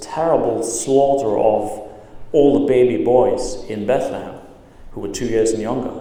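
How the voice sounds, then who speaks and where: A man's fairly slow speech, with audible room echo and noticeable background noise. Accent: non-native. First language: not English. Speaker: pastor. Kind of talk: sermon. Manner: halting, many fillers.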